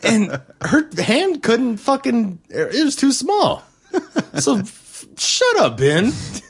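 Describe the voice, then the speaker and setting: Over noticeable background noise, a man with an American accent speaks very slowly at a very even loudness. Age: 20s. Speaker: podcast co-host. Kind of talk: casual chat.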